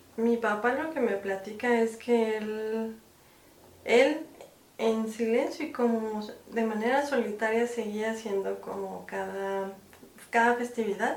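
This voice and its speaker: A woman with a Mexican accent speaks at a very slow pace and a fairly high pitch. Audible room echo surrounds her voice. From Mexico. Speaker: film producer and director. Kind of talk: casual interview.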